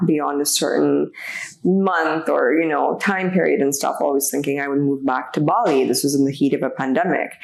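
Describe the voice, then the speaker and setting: Noticeable background noise fills the recording. A woman speaks at a moderate pace with ordinary pitch variation. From Indonesia (Jakarta), Indian family. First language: Indonesian. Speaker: handbag designer and entrepreneur. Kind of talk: casual interview chat.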